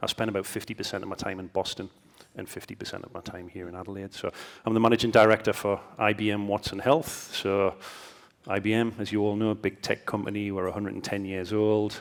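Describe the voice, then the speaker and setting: A man with a fairly low voice talks at a very fast pace with monotone, flat intonation. His loudness swings widely. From northeast England. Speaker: tech company executive. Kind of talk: panel discussion.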